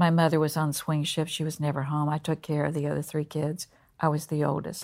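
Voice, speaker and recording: A woman with a Southern US accent and a very deep, low pitch on a very clean recording with a silent background. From North Carolina. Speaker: college president. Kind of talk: interview.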